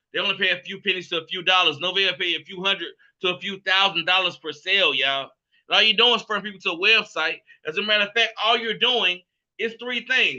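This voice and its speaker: Using a raised, projected voice with a bright, sharp tone, a man talks at a very fast pace. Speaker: business opportunity presenter. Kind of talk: sales pitch. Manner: animated.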